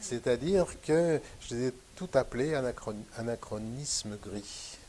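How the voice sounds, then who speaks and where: Lively intonation marks the very slow delivery of a man's speech. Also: medium pitch for a man. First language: Western Armenian (speaking French). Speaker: painter. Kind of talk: interview conversation. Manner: hesitant, many fillers.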